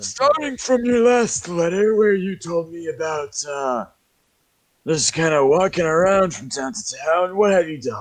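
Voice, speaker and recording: A man does a put-on character voice at a high pitch, keeping a moderate pace. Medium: actual play. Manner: rambling, hesitant, friendly.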